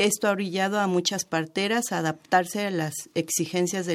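A woman talks at a moderate pace with fairly even intonation. Hers is a plain, everyday voice. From Mexico, Chiapas. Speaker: traditional midwife. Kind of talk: radio interview.

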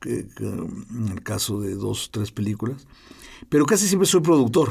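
Using vocal fry, a man talks at a fairly slow pace with a medium pitch that swings very widely. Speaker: film director. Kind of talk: interview. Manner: halting, repeats words.

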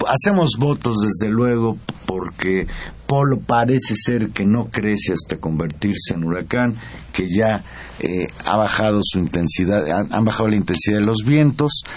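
A man's fairly low voice with lively intonation at a fairly slow pace, amid noticeable background noise. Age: old. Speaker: radio host. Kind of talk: radio news talk. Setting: radio studio.

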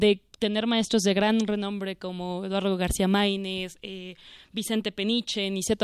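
A woman with an unremarkable speaking voice talks at medium pitch and a moderate pace with fairly even intonation, in a very clean recording with a silent background and a dry, close sound with no echo. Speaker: law student co-host. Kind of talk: interview.

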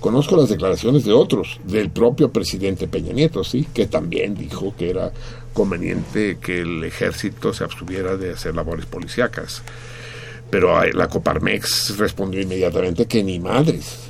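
A man's fairly low voice with lively intonation at a moderate pace, over noticeable background noise. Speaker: radio host. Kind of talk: casual chat.

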